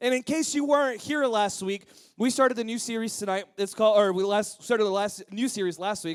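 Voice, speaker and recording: A man with a high pitch and an energetic tone talks at a fairly quick pace, with ordinary pitch variation. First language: Spanish. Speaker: youth pastor. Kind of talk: sermon.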